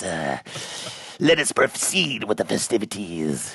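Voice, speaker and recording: A put-on character voice from a man, very deep and low in pitch, at a fairly slow pace. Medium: audio drama. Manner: grandiose, formal.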